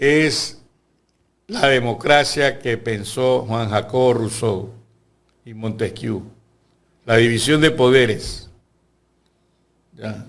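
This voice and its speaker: A man at a very slow pace. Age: 70s. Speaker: lawyer and university lecturer. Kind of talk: interview.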